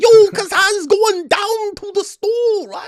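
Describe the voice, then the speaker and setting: A put-on character voice speaks fairly slowly at an extremely high pitch. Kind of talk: casual slang. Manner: dumb, rambling.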